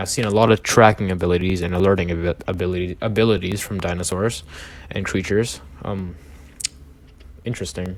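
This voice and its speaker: Ordinary pitch movement and a fairly fast tempo from a male speaker. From outside the US. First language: not English. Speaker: gaming YouTuber. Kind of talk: reading aloud with commentary. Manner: halting.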